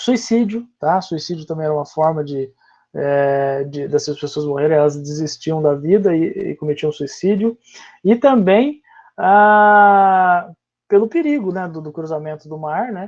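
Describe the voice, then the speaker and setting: A man's high voice at a fairly slow pace, with ordinary pitch variation, big swings in loudness and a quiet background. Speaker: history teacher. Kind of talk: online class lecture.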